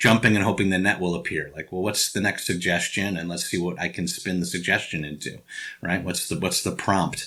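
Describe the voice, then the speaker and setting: A man's voice has a bright, sharp tone and moves at a fairly quick pace. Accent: Chicago. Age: 50s. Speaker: actor and improv teacher. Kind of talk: interview. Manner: halting.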